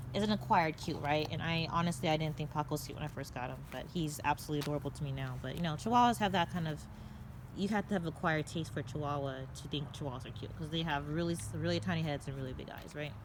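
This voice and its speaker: Very deep and low in pitch, a woman talks at a very fast pace with vocal fry and ordinary pitch variation. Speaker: dog breeder and vlogger. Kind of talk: casual vlog monologue. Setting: outdoors, backyard. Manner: stammering.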